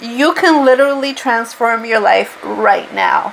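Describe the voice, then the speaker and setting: With a strong Portuguese accent, a woman talks in a high pitch at a fairly slow pace. Noticeable background noise sits behind her. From Portugal. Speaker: spiritual tarot reader. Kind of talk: tarot reading monologue. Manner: casual, unscripted.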